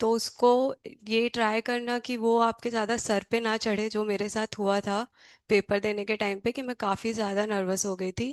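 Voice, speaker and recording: A woman with fairly high pitch speaks in a monotone, flat intonation, the sound dry and close with no echo over a quiet background. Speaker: GATE exam topper. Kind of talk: student guidance talk.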